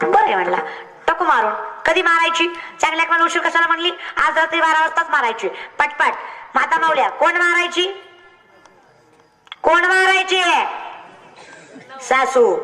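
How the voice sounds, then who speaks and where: Through noticeable background noise, a woman uses a raised, projected voice at an extremely high pitch, her loudness very even. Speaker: kirtan performer. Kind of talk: comic kirtan storytelling to village audience.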